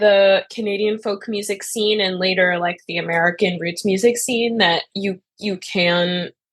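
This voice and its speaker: A woman talks fairly slowly at a medium pitch with ordinary pitch variation. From Montreal, Canada. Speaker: folk musician. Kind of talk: interview.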